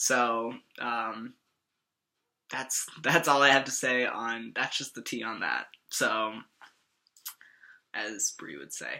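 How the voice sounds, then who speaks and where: Very slow delivery with long, frequent pauses. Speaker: transgender vlogger. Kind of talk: casual vlog update. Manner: rambling, casual.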